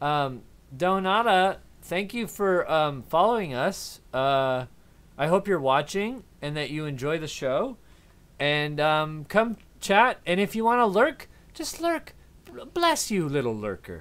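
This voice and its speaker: A man at a fairly slow pace, with very wide pitch swings. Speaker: live streamer. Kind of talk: casual stream chat. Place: home room. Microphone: studio mic.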